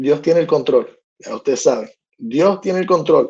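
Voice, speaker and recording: A man's high voice, dark and mellow in tone. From United States. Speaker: sports podcast host. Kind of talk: casual monologue. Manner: halting, many fillers and repetitions; animated.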